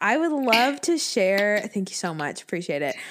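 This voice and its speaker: Using a normal speaking voice, a woman talks at medium pitch and a moderate pace. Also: very clean recording, silent background. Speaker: podcast co-host. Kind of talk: casual chat.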